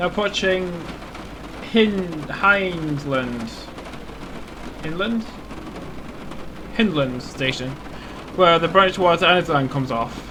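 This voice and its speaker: Over noticeable background noise, a high-pitched man talks at a very slow pace with lively intonation and long, frequent pauses. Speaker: gaming video creator. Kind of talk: gameplay commentary. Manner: stuttering; casual, thinking aloud.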